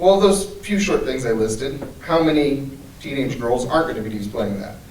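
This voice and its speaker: A man with a fairly high pitch, very wide pitch swings and a fairly quick pace, with audible room echo and noticeable background noise. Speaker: anti-trafficking speaker. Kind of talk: symposium talk. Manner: fast.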